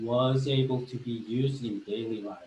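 Audible room echo surrounds a man with a Korean accent. He speaks at a medium pitch and a moderate pace. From South Korea. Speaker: marketing professor; assistant professor presenter. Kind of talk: lecture. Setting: video call. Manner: halting, many fillers. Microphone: webcam.

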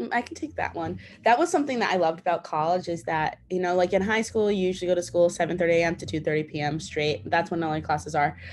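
A woman with a fairly low pitch and vocal fry speaks at a very fast pace with hardly any pauses. Her pitch variation is ordinary, with light background noise behind her. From Rhode Island, Bristol; Rhode Island. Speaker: college student; panelist. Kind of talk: panel discussion. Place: home room. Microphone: video call.

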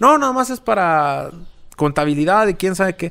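Speaking in a rural Mexican accent, a man uses a high pitch and lively intonation. He keeps a moderate pace over a quiet background. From rural central Mexico. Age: 30s. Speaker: social media content creator and former radio announcer; social media content creator, former radio announcer. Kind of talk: casual interview. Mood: relaxed, reflective storytelling. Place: garage. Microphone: studio mic.

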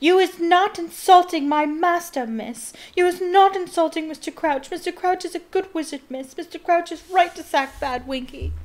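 A shrill, put-on character voice, female-sounding and extremely high in pitch. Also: moderate pace. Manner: screeching, upset.

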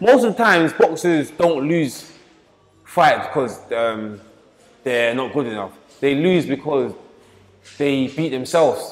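A man talking at a fairly slow pace with long, frequent pauses, faint music in the background. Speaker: boxing coach. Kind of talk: interview answer. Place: gym.

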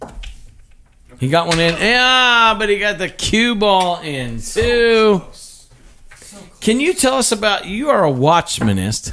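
A man's raised, projected voice, high in pitch, bright and sharp in tone, with lively intonation, big swings in loudness and a fairly slow pace. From Scotland. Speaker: musician, podcast host. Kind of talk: casual chat.

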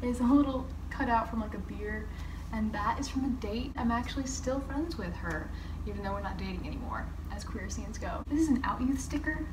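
Speech comes at a fairly quick pace. Noticeable background noise runs underneath. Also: woman. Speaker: queer artist vlogger. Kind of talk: casual vlog chat. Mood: warm, reflective, grateful. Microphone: phone near.

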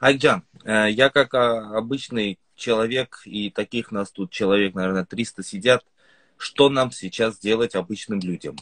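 Using an ordinary speaking voice, a man talks at a medium pitch and a fairly slow pace, with ordinary pitch variation. The sound is dry and close with no echo, over a quiet background. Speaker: Instagram blogger. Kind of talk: livestream interview. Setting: video call.

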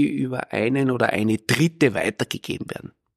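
Recorded with a dry, close sound and no echo, a man talks at a fairly quick pace with vocal fry, medium pitch and ordinary pitch variation. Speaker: microbiologist and science communication professor. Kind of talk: casual interview chat.

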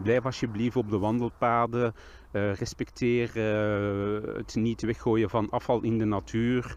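A man at a very slow pace, with monotone, flat intonation and a dry sound with no echo. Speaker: nature volunteer. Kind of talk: interview. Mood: earnest, concerned. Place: waterside. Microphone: handheld.

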